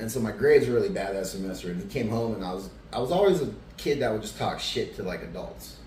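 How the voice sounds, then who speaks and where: Someone talks at a very fast pace, with audible room echo. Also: man. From Arizona, Tucson. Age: 40s. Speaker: person in addiction recovery. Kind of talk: interview testimony. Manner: casual, many fillers.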